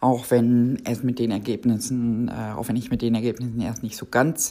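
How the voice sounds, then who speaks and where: A woman speaks at a moderate pace with a very deep, low pitch and a dark, mellow tone. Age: 50s. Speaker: project controller. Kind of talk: interview.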